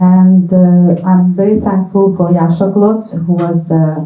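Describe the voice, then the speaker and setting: A somewhat breathy woman's voice in a monotone, flat intonation at a fairly slow pace. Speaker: diplomat. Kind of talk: event introduction.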